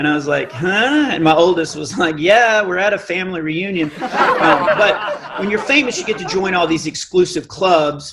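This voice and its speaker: Noticeable background noise and audible room echo surround a man speaking at a moderate pace with a high pitch and ordinary pitch variation. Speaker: comedian. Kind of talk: stand-up. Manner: animated.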